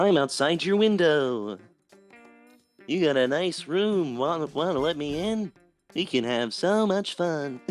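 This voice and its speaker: In a put-on character voice, a man talks at a fairly slow pace and fairly high pitch with long, frequent pauses, while faint music plays in the background. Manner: calming, friendly; creepy, coaxing.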